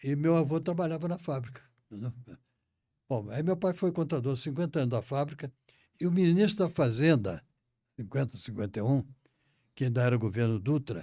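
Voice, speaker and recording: On a very clean recording with a silent background, a man speaks at a moderate pace with lively intonation. His fairly high voice has a dark, mellow tone. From Brazil, Rio de Janeiro. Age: 90s. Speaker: retired central bank director and association founder. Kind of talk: interview, life story. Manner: halting, with repetitions.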